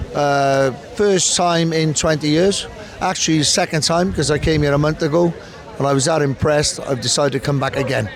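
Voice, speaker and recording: Over noticeable background noise, a man in a Welsh accent talks fairly quickly in a fairly high voice, with ordinary pitch variation and very even loudness. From Cardiff, Wales. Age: 60s. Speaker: pub manager. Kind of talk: interview answer.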